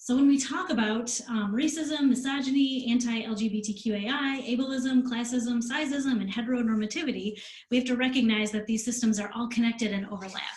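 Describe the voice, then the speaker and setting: With an American accent, a woman speaks at a high pitch and a fairly quick pace with hardly any pauses and fairly even intonation, over noticeable background noise and audible room echo. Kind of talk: presentation. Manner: fast.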